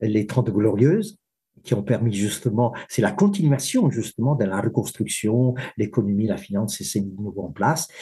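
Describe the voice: The man's voice is fairly low in pitch and dark and mellow in tone, with a slightly husky edge, moving at a moderate pace with ordinary pitch variation.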